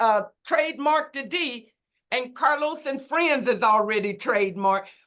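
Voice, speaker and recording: A woman with a Southern US accent. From Mississippi. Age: 60s. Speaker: motivational speaker. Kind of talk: casual chat.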